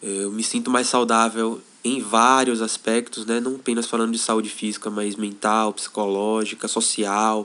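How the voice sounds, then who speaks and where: In a bright, sharp tone, a man talks at medium pitch and a fairly slow pace, his intonation monotone and flat. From Brazil, Salvador, Bahia. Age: 20s. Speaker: intentional community member. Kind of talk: podcast interview.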